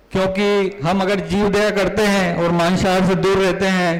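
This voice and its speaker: A high-pitched male voice amid noticeable background noise and audible room echo. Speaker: doctor and event emcee. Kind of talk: event hosting speech.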